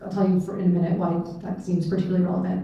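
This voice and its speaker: With an American accent, a woman talks amid audible room echo and noticeable background noise. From US Pacific Northwest, rural Clark County, Washington. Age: 40s. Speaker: state legislator. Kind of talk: panel discussion. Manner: casual with many fillers.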